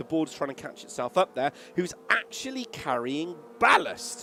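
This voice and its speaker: A man at a moderate pace, very wide pitch swings, and noticeable background noise. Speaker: sim racing commentator. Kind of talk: live commentary. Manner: loud.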